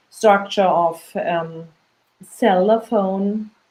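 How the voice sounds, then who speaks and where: Delivery comes in a German accent with fairly even intonation. The pace is very slow. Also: woman. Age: 50s. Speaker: parent. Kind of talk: interview. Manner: halting.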